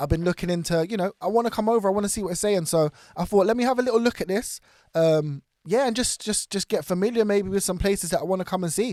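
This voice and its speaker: In a British accent, a man talks at a very fast pace with ordinary pitch variation, recorded very cleanly against a silent background with a dry, close sound and no echo. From Britain. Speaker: reaction YouTuber. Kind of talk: casual reaction commentary. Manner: upbeat, excitable.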